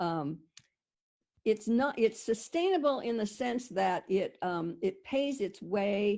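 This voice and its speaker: A woman speaks at a medium pitch with lively intonation. Her tone is dark and mellow, with a quiet background. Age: 70s. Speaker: intentional community founder. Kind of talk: presentation on video call. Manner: halting, with many fillers and restarts.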